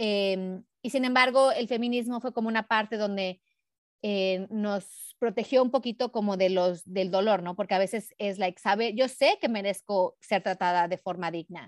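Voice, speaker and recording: A woman with a plain, everyday voice, medium pitch, ordinary pitch variation and a moderate pace, in a dry, close sound with no echo. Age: 40s. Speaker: body positivity activist and educator. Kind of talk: casual interview.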